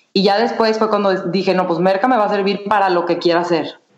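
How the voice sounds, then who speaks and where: A woman with a Mexican accent at a medium pitch and fairly quick pace. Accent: Mexican Spanish (Jalisco). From Mexico, Guadalajara. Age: 20s. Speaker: entrepreneur. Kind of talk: interview.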